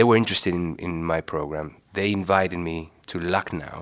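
On a very clean recording with a silent background, a man speaks at a very deep, low pitch. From Uruguay. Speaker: cardiologist and author. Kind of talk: interview conversation. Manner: hesitant, searching for words.

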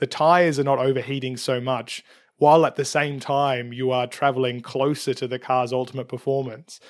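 A man talks at a fairly quick pace in a flat monotone. The recording is very clean, with a silent background. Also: medium pitch for a man. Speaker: motorsport strategy podcaster. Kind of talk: casual chat.

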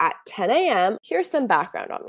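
A woman speaks with an American accent and very wide pitch swings. The recording is very clean, with a silent background. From California (Santa Barbara / Ventura). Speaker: podcast host, anthropology student. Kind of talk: casual solo monologue. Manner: informal, relaxed.

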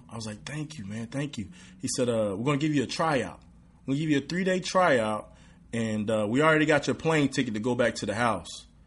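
With an East Texas accent, a man talks at a fairly quick pace with medium pitch and ordinary pitch variation. The background is quiet. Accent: East Texas Southern American. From East Texas (Redwater, near Texarkana). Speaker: professional football player. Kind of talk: casual interview.

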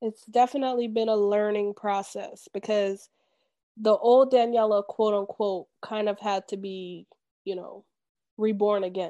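A woman with an ordinary speaking voice talks at a fairly slow pace in a fairly high pitch, her intonation fairly even, with a quiet background. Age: 30s. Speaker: therapist. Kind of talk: interview podcast.

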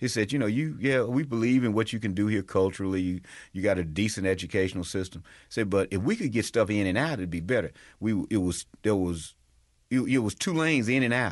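A man with a Southern US accent at a very fast pace, fairly low in pitch, with ordinary pitch variation against a quiet background. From Mississippi (Natchez). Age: 50s. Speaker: state legislator. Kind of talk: interview.

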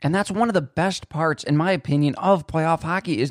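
The speaker has a Western New York accent and talks at a moderate pace. The pitch varies in an ordinary way, and the sound is dry and close with no echo. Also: man. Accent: Western New York (Inland North) American. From Buffalo, New York, US. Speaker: sports podcast host. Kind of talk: solo sports commentary podcast. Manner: casual, with fillers and self-corrections.

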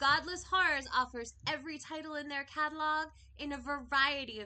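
This woman talks at a fairly quick pace with a raised, projected voice. Her pitch is high. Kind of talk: podcast host banter. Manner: animated, exuberant.

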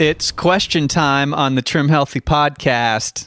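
Against a quiet background, a man with a fairly high pitch speaks in an animated tone at a moderate pace. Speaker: podcast co-host. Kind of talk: casual chat. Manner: joking, animated.

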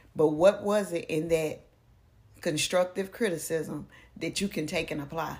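An ordinary speaking voice from a woman, fairly low in pitch, with fairly even intonation at a moderate pace. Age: 40s. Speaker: ordained elder, author and poet. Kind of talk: casual chat.

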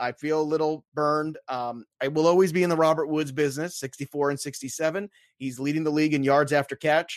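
Very fast, animated delivery with hardly any pauses, a dry, close sound with no echo and a quiet background. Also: man, fairly high pitch for a man. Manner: animated, jokey.

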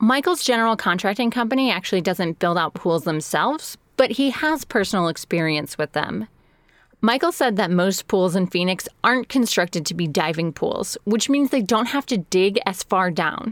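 At a moderate pace, a woman of medium pitch speaks in an unremarkable speaking voice, the sound dry and close with no echo in a very clean recording over a silent background. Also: lively intonation. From Chicago area, US Midwest. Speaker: podcast host and editor. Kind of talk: scripted narration.

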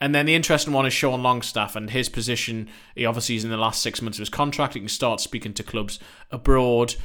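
Very fast and bright, sharp in tone, a man speaks with a British accent at a medium pitch. His intonation stays fairly even. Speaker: football correspondent. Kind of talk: casual chat.

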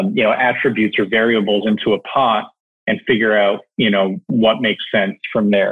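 This man has an ordinary speaking voice, fairly low in pitch. He talks at a moderate pace with fairly even intonation. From Canada. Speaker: e-commerce operations executive. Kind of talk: interview. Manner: many fillers, repeats words.

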